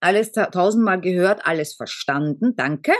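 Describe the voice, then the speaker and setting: The recording sounds dry and close, with no echo. A woman does the talking. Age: 50s. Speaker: podcast co-host. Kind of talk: casual chat.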